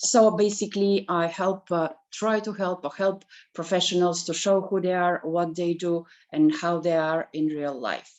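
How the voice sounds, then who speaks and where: Delivered at a moderate pace, the speech carries a non-native accent. Pitch varies in an ordinary way. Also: woman, fairly low pitch for a woman. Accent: foreign. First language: not English. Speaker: photographer. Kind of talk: elevator pitch.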